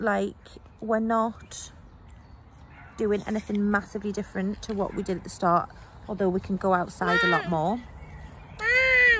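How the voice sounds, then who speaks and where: The sound is dry with no echo, and loud background noise is present. A woman speaks at a moderate pace. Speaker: vlogger, mother. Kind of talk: casual vlog to camera. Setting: at home and outdoors, handheld. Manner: chatty, with frequent fillers and laughs. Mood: startled, laughing in woods. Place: open country. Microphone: phone near.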